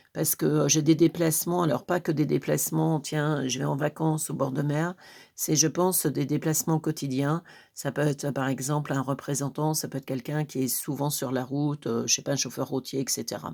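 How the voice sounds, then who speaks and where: A woman talks at a moderate pace with a very deep, low pitch, a dark, mellow tone and vocal fry. Her intonation is fairly even, on a very clean recording with a silent background. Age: 60s. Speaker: tarot reader. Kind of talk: live tarot reading. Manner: hesitant, many fillers.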